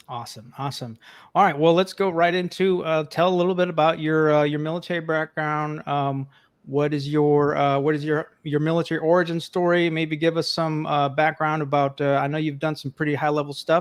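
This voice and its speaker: A man speaks in a normal speaking voice at a fairly high pitch and a fairly quick pace. His intonation is fairly even, and the background is quiet. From New York (Bronx). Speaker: financial social worker, podcast host. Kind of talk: interview.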